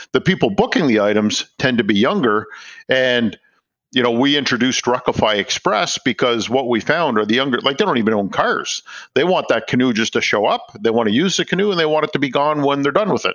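With a Canadian accent, a man talks fairly quickly at a medium pitch, his loudness very even and his intonation lively. He has a plain, everyday voice. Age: 50s. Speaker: startup founder. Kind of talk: interview.

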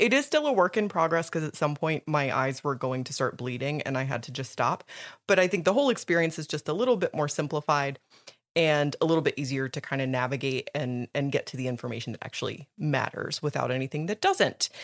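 A woman speaks at a very fast pace with a very deep, low pitch and an animated tone. The sound is dry and close with no echo, in a very clean recording with a silent background. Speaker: podcast co-host. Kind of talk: casual chat.

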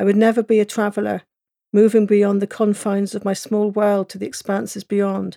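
A woman with a Cornish accent speaks fairly quickly in a dark, mellow tone and a flat monotone. The recording is very clean and dry, with a silent background, a close sound and no echo. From England, Cornwall. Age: 40s. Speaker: author. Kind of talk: audiobook narration of a memoir, lyrical and evocative. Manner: wistful and quietly defiant, building emotional intensity.

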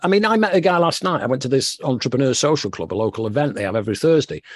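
Against a quiet background, a man with a northern English accent talks very fast at a fairly high pitch with very wide pitch swings. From northern England. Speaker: author and former music executive. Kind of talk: interview.

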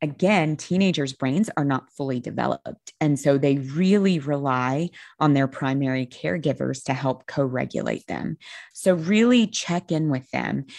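A woman with a very deep, low voice talks at a moderate pace, her pitch varying in an ordinary way. The sound is dry and close with no echo, and the background is quiet. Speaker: eating disorder therapist. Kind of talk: casual interview.

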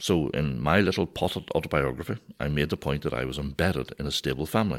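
Very deep and low, a man's voice with vocal fry and lively intonation moves at a fairly quick pace in a Northern Irish accent, captured in a very clean recording with a silent background. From Northern Ireland. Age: 50s. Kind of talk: conversational teaching.

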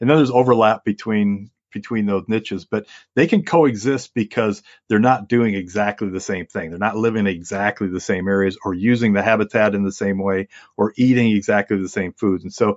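This man has an unremarkable speaking voice with an American accent. His pitch sits fairly low. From US Midwest (Aurora, Illinois, near Chicago; also Wisconsin). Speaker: wildlife biologist. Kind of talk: interview.

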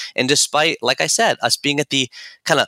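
Captured in a dry, close sound with no echo on a very clean recording with a silent background, a man speaks in a bright, sharp tone. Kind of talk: podcast interview.

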